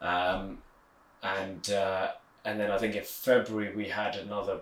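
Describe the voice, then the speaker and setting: A man talks in a London accent. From west London, England (Hounslow). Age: 20s. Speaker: amateur football club founder. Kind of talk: interview. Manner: halting.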